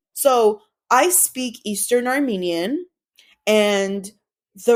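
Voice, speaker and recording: A woman with a fairly high pitch speaks in an animated tone. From Los Angeles, US. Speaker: comedian. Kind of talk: casual chat.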